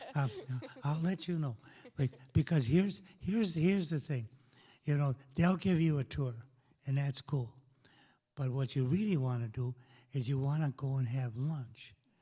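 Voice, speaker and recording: A man with fairly high pitch and ordinary pitch variation, a dark, mellow tone, somewhat breathy, at a moderate pace with long, frequent pauses, on a very clean recording with a silent background. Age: old. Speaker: community talk host. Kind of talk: panel discussion with audience.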